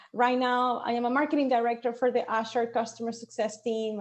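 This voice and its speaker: Talking at a fairly quick pace, a woman with a Venezuelan accent uses a fairly high pitch. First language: Spanish. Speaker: marketing director. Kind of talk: panel discussion. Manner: animated.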